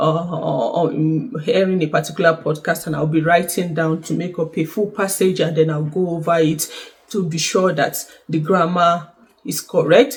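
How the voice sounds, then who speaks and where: Intonation stays fairly even while the words come at a moderate pace. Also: woman. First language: not French; learned French. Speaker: YouTuber sharing exam prep tips. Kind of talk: casual vlog talk to camera. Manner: hesitant, many fillers.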